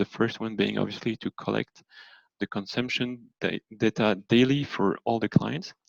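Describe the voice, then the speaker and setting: A man speaks at a moderate pace with fairly even intonation. The sound is dry and close, with no echo. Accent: French. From France. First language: French. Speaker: energy consultant. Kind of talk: presentation. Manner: halting, with fillers.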